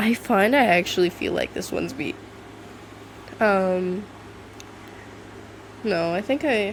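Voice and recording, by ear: A woman talks at a slow pace and a medium pitch. Her pauses are long and frequent.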